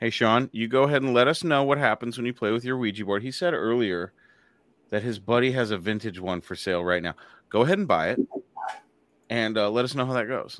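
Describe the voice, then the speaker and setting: A man with a medium-pitched voice talks at a very fast pace in a very clean recording with a silent background. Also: ordinary pitch variation. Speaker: podcast host. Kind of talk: casual chat. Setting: live show. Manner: laid-back, jokey.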